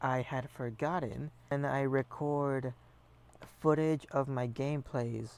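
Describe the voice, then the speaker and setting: Soft-spoken and medium in pitch, a man talks at a very slow pace with fairly even intonation. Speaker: gaming streamer. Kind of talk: casual gameplay commentary. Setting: live stream. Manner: casual with fillers.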